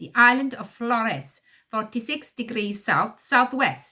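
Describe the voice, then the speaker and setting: A female-sounding voice puts on a gruff character voice, pitched high. The pace is fairly slow. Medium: read story. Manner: crude, hot-tempered.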